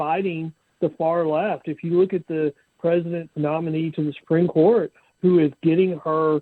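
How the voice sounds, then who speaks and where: Here is an ordinary speaking voice at a moderate pace. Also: man. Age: 60s. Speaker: bail bondsman. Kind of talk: podcast interview.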